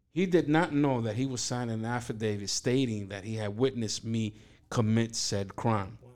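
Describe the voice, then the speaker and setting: On a very clean recording with a silent background, a man with a New York accent talks at a moderate pace and medium pitch with ordinary variation. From Brooklyn, New York (East New York). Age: 50s. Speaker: pastor. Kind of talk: testimony.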